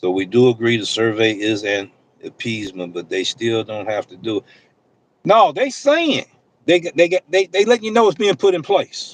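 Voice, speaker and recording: Through a dry, close sound with no echo, a man at medium pitch speaks at a moderate pace with very wide pitch swings and big swings in loudness. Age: old. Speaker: delivery driver and livestream host. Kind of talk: live stream reading and answering chat comments. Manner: animated.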